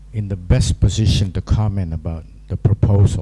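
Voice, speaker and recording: Fairly low in pitch with ordinary pitch variation, a man speaks against noticeable background noise. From Indonesia, Palembang. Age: 70s. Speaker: commentator. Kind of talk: panel remarks.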